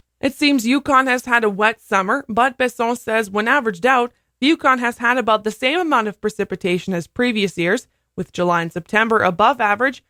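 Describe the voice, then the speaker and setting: A woman speaks in a bright, sharp tone with ordinary pitch variation. The sound is dry and close with no echo, on a very clean recording with a silent background. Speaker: radio news and sports anchor. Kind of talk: radio news anchor read.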